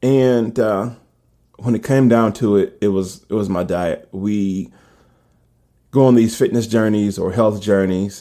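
A man talks in a fairly low pitch with fairly even intonation and a dark, mellow tone. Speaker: fitness podcaster. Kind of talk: solo podcast monologue. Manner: casual, opinionated.

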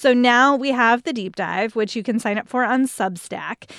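A woman with a normal speaking voice talks at a moderate pace, her pitch fairly high. The sound is dry and close, with no echo. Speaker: guest host. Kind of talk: casual chat.

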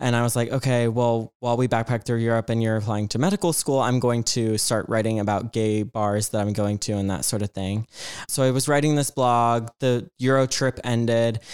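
In a very clean recording with a silent background and a dry, close sound with no echo, a man with an American accent talks at medium pitch and a fairly quick pace, his loudness very even. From Georgia, US South. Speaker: performer. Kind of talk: casual chat. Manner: animated.

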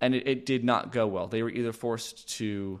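The recording is very clean, with a silent background. A man talks in an American accent with a fairly low pitch. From Los Angeles, California. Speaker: author and podcaster. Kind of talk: interview conversation.

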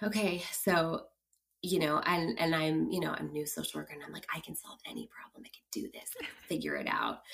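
A woman with a West Coast US accent, at a fairly quick pace, with big swings in loudness. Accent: General American (West Coast). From US West Coast, San Francisco Bay Area. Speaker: clinical social worker. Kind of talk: casual interview, storytelling.

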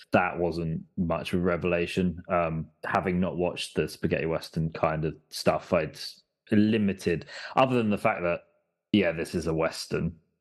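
A man with an English accent speaks at a moderate pace in a very deep, low voice, his intonation fairly even against a quiet background. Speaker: podcast guest. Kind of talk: casual chat.

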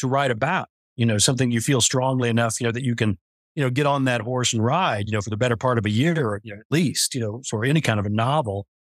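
A man with an American accent and medium pitch, speaking at a very fast pace on a very clean recording against a silent background. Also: dry, close sound with no echo. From US West. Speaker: novelist. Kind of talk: interview.

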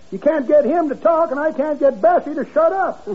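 A cackling put-on character voice moves at a fairly quick pace. Light background noise is audible. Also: man, extremely high pitch for a man. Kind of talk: 1940s radio comedy acting. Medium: old radio play. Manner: folksy, rambling, ungrammatical, cackling.

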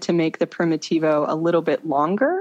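Against a quiet background, a woman with an American accent speaks with lively intonation. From Florida, US. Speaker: pilgrim walker. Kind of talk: interview. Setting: phone call. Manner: hesitant, many fillers.

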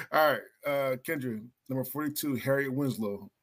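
Talking at a fairly quick pace, a man uses a normal speaking voice at medium pitch. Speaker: podcast host. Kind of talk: casual chat.

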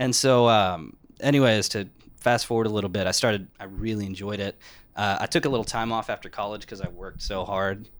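A man with an American accent talks fairly quickly in an unremarkable speaking voice, his pitch fairly low and his intonation fairly even. The recording is very clean, with a silent background. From Texas, San Antonio. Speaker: criminal defense attorney. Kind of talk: casual interview chat.

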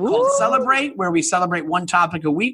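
Over noticeable background noise, a man with a high pitch speaks in a raised, projected voice. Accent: American. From Long Island, New York. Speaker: stand-up comedian. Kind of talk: casual chat, storytelling.

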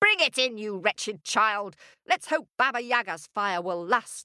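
In a put-on character voice, a shrill, female-sounding voice with a fairly high pitch talks at a moderate pace. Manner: shrill, scornful, bossy.

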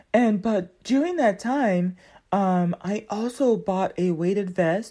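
A woman's dark, mellow voice at medium pitch over a quiet background. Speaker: podcast host. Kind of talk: casual monologue. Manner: animated.

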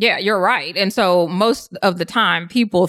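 With an American accent, a woman has a normal speaking voice, a fairly low pitch and ordinary pitch variation. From US South. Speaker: diversity coach and consultant. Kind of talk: interview.

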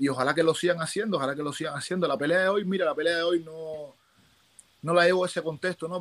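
A man talks very fast, his voice sitting fairly high. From Cuba. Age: young. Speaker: Olympic boxer. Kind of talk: interview. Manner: animated.

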